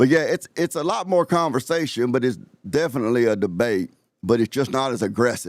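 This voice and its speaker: Recorded dry and close with no echo on a very clean, silent background, a man with an Alabama accent talks fairly quickly at a medium pitch with lively intonation. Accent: Southern US (Alabama). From US South, Alabama. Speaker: live-stream host. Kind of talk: casual live-stream chat. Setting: live stream.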